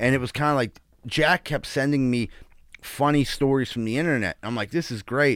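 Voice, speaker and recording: A man talks at a fairly quick pace with a Pittsburgh accent, his pitch medium and its variation ordinary. The recording is very clean with a silent background and a dry, close sound with no echo. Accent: Western Pennsylvania (Pittsburgh). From Pittsburgh, Greenfield. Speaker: comedian. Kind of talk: casual chat.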